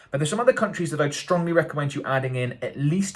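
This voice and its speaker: Here a man talks with a British accent at a fairly high pitch. His voice shows vocal fry and very wide pitch swings. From UK. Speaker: marketing agency owner and YouTube educator. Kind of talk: tutorial. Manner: casual, hesitant with fillers.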